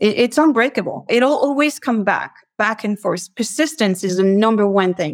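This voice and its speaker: A woman speaks in a French accent at a fairly high pitch. Her pace is moderate, with hardly any pauses. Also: lively intonation. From France, near Paris. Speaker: logistics executive. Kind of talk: interview.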